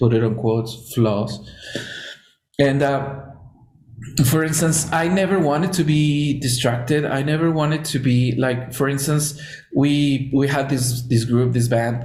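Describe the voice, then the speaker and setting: Amid audible room echo and noticeable background noise, a fairly high-pitched man with a Spanish accent speaks at a fairly slow pace, with very even loudness and ordinary pitch variation. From Mexico. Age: 30s. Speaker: podcast host. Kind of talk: casual chat.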